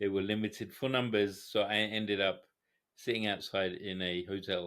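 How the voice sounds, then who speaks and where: The man's voice sits fairly low, with ordinary pitch variation and a bright, sharp tone. The recording is very clean, with a silent background. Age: 40s. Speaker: psychiatrist. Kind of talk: casual chat. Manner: halting.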